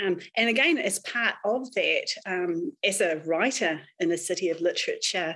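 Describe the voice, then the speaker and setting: A woman with a New Zealand accent, bright and sharp in tone, lively intonation, very even loudness, a fairly slow pace and hardly any pauses. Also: medium pitch for a woman. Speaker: crime novelist. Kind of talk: panel interview.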